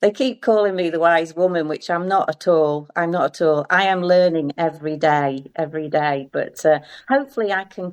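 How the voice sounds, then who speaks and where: A woman with an ordinary speaking voice talks at a moderate pace with hardly any pauses, her pitch fairly low and its variation ordinary. The background is quiet. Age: 60s. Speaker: arts centre volunteer. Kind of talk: casual chat.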